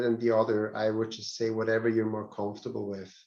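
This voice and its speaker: A man is speaking. He has a non-native accent. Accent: non-native English speaker. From Switzerland. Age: 40s. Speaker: real estate trainer. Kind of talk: training seminar. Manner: hesitant, repeats words.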